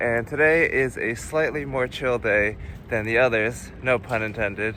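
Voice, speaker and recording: A man at medium pitch with ordinary pitch variation, moderate pace, and noticeable background noise. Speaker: travel vlogger. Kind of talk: travel vlog narration.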